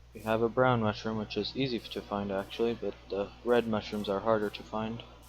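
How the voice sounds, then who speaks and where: Music plays in the background as a man speaks at a fairly quick pace, his fairly low pitch monotone and flat. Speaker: gaming video creator. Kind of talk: let's play commentary. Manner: casual, chatty.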